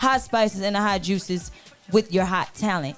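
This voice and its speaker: A woman with a Southern US accent, medium pitch and a fairly quick pace, with music in the background. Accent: country Southern. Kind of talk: podcast host, lively.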